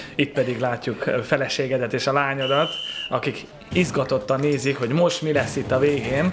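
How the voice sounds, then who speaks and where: Delivered at a moderate speed with fairly even intonation, the speech has noticeable background noise beneath it. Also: man, fairly high pitch for a man. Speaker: sports presenter. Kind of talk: sports video commentary.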